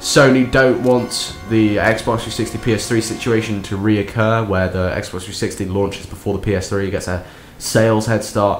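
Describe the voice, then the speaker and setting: A man's fairly low voice at a moderate pace, fairly even intonation and hardly any pauses, with music in the background. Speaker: video game commentator. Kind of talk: casual gameplay commentary.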